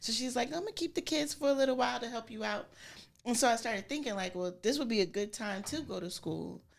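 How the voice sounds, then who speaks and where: A woman with an American accent, fairly high in pitch with vocal fry and lively intonation, at a very fast pace in a very clean recording with a silent background. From Springfield, Massachusetts. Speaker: barber and barbershop owner. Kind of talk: podcast interview. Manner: casual, with many fillers.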